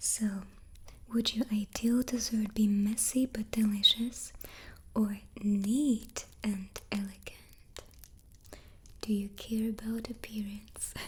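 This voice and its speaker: A soft-spoken, somewhat breathy voice with a calm tone and monotone, flat intonation. It moves at a very slow pace with long, frequent pauses. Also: woman, fairly high pitch for a woman. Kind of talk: ASMR soft-spoken chat. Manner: soft-spoken, calm.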